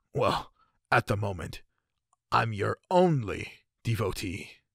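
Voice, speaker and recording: Using a put-on character voice, a man speaks raspy and fairly slow at a medium pitch with very wide pitch swings, on a very clean recording with a silent background and a dry, close sound with no echo. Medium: solo performance. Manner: eager, worshipful.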